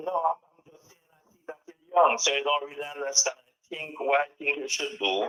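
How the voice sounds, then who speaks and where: With an ordinary speaking voice, a man at a fairly high pitch talks at a moderate pace with hardly any pauses, ordinary pitch variation and big swings in loudness. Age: 60s. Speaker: caller. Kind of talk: call-in comment.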